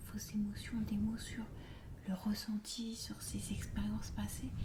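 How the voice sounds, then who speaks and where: A woman is speaking. Her tone is calm and soothing. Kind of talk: ASMR roleplay, counseling session. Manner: soft, calm, soothing.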